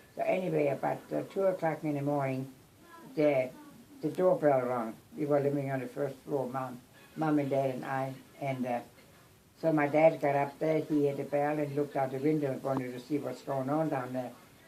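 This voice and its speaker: A woman with a very deep, low pitch and monotone, flat intonation, moderate pace, noticeable background noise behind her. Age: 80s+. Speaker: grandmother. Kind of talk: family storytelling. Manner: halting.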